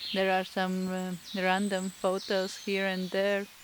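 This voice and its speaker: Over noticeable background noise, a woman with a Latvian accent talks at medium pitch and a very slow pace. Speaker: artist, painter. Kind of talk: voice-over narration. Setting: indoors at home, self-recorded. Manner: halting, many fillers.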